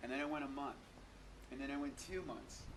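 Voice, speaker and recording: Talking very fast, a man with a fairly high pitch comes through noticeable background noise and audible room echo. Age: 40s. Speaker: raw vegan bodybuilder. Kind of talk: interview. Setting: at a health expo.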